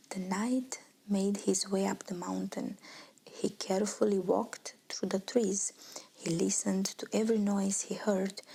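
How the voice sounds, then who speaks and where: Soft-spoken and whispering, a woman talks in a gentle tone at a very slow pace. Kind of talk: ASMR bedtime story reading. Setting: quiet, close-mic ASMR recording. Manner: whispered, soft, gentle.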